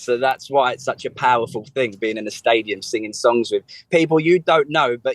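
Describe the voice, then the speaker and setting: A strong English accent at a fairly quick pace, with a dry, close sound and no echo. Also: man. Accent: strong local English accent, as he notes. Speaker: singer-songwriter. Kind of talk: radio interview.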